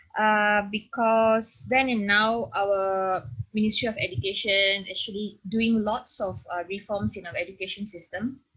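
A woman speaks at a fairly slow pace. She leaves hardly any pauses. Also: medium pitch for a woman, fairly even intonation. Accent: Malaysian. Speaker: secondary school teacher. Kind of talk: interview. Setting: video call.

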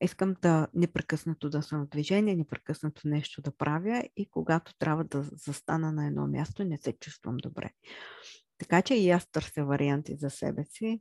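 A woman speaks with a very deep, low pitch and a dark, mellow tone. Her pace is moderate, her pitch variation is ordinary, and the sound is dry and close with no echo. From central Bulgaria (Chirpan). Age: 30s. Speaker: podcast host. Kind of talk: monologue about herself. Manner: halting, with many fillers.

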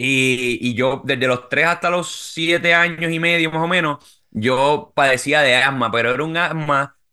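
A man with a fairly high pitch and a bright, sharp tone talks at a fairly slow pace with hardly any pauses and ordinary pitch variation. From Puerto Rico. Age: 30s. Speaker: amateur marathon runner. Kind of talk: casual interview.

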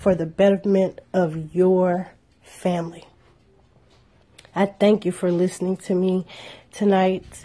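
A woman's somewhat breathy voice unfolds at a very slow pace. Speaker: podcast host. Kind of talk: podcast monologue.

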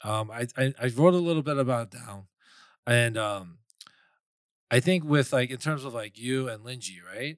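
A man with a New York accent speaks at a moderate pace at medium pitch with ordinary pitch variation, in a very clean recording with a silent background and a dry, close sound with no echo. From New York, Flushing, Queens. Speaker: podcast co-host and waiter. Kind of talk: casual chat.

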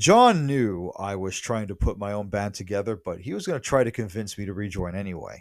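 A man with an American accent and a normal speaking voice talks at a fairly quick pace with hardly any pauses, his pitch fairly low and varying in an ordinary way. The recording is very clean, with a silent background. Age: 30s. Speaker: podcaster. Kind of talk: casual monologue.

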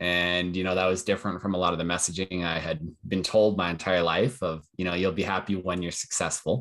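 Here a man speaks with a Western Canadian accent. His voice is very deep and low. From Calgary, Canada. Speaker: entrepreneur. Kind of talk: casual chat.

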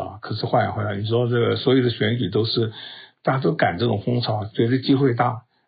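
A somewhat breathy man at medium pitch talks at a fairly quick pace with fairly even intonation. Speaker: podcast news commentator. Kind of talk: solo news commentary. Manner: casual, with many fillers and hesitations.

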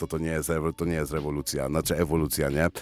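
A man's very deep, low voice with music in the background. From Poland, Bielsko-Biała. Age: 30s. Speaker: rapper and concert emcee. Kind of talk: casual chat. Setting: radio studio.

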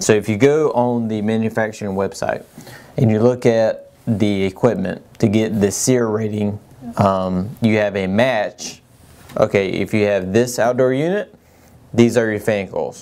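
With an American accent and a normal speaking voice, a man talks at a fairly slow pace, his pitch fairly low and his intonation fairly even. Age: 30s. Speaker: HVAC company owner answering listener questions. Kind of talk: casual Q&A show.

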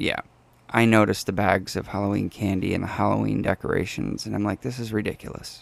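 A man with a fairly low pitch rattles along at a very fast pace in a monotone, flat delivery with vocal fry. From New England. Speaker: podcast co-host. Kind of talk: casual chat. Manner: halting, pauses between short phrases.

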